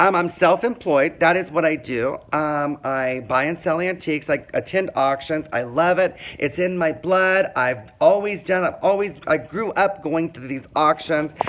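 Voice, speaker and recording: On a very clean recording with a silent background, a man with an American accent speaks in an animated tone at a fairly high pitch, with ordinary pitch variation and hardly any pauses. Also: fairly slow pace. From Indiana, small town. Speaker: vlogger telling life story. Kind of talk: personal monologue. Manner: loud.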